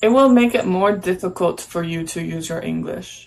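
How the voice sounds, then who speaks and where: A woman at a medium pitch, an ordinary speaking voice. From United States. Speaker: English teacher. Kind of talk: casual chat.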